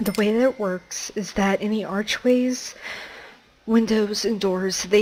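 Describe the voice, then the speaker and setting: A woman at medium pitch with fairly even intonation, a moderate pace and noticeable background noise. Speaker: gaming tutorial creator. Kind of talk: tutorial. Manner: casual, conversational.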